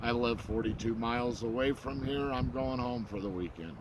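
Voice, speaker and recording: A man's medium-pitched voice, ordinary pitch variation, moderate pace. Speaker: bigfoot researcher vlogger. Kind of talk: casual vlog monologue. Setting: outdoors at a campsite. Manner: loud; halting, many fillers.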